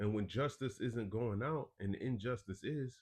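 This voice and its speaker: A man speaks with ordinary pitch variation. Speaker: religious teacher and news commentator. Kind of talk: live stream commentary with scripture reading.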